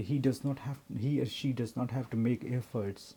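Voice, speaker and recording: A man with a dark, mellow tone, somewhat breathy, at a moderate pace. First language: not English. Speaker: vlogger, working professional. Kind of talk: personal vlog monologue. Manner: halting, with self-corrections.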